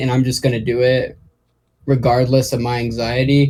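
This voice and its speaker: His voice has a somewhat breathy quality. The man talks at a fairly slow pace. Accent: American. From Oklahoma. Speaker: rapper. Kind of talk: interview. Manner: halting, pauses mid-sentence.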